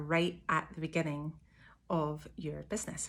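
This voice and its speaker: A woman speaks with a Scottish accent at a fairly slow pace. The recording is very clean, with a silent background. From Scotland. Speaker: small business owner. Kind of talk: casual talk to camera.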